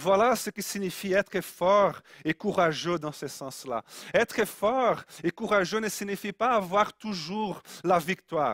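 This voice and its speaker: A man's high-pitched voice at a very slow pace, with ordinary pitch variation and a dry, close sound with no echo. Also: very clean recording, silent background. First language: Portuguese (speaking French). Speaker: preacher. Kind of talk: sermon.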